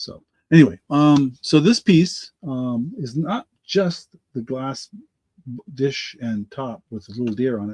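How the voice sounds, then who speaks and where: Dry and close with no echo, the recording catches a man speaking at a very slow pace in a medium pitch, with lively intonation and big swings in loudness. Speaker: online auction seller. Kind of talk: live auction stream. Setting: live video stream. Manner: halting, filler-heavy.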